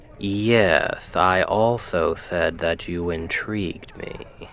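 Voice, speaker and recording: Over clear background noise, a man does a put-on character voice, very deep and low-pitched, at a very slow pace. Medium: solo performance. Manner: teasing, confident, flirtatious.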